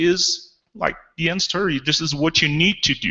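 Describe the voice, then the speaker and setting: A man speaks with a French Canadian accent. His pitch is fairly high. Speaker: developer advocate. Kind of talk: conference talk. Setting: auditorium with audience. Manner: animated.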